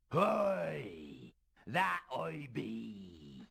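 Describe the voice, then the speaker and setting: Raspy and very deep, a man's low-pitched voice performs a put-on character voice. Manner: theatrical, gruff.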